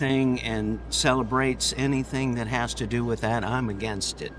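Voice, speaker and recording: Over music in the background, a man speaks with an American accent. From USA. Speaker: street performer and dancer. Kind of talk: street interview.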